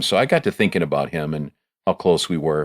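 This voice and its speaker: In a very clean recording with a silent background, a man with an American accent talks at a very fast pace. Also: dry, close sound with no echo. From Joliet area, Illinois. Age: 60s. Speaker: singer-songwriter. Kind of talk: interview. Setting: studio. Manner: halting.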